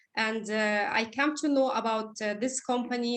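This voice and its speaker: A woman's fairly high-pitched voice with a non-native accent, a moderate pace, and fairly even intonation. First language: not English. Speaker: essential oils presenter. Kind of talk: presentation. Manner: halting.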